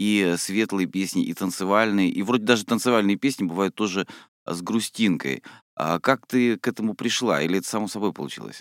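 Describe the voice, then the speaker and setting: A man with a normal speaking voice, fairly low in pitch, talking at a fairly quick pace with ordinary pitch variation. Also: dry, close sound with no echo, very clean recording, silent background. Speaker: radio host. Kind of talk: radio interview. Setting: radio studio.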